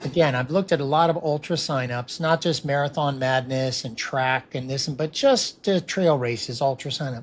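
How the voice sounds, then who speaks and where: A man's plain, everyday voice, fairly high in pitch, with ordinary pitch variation at a moderate pace. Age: 60s. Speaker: podcast host and runner. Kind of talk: casual interview.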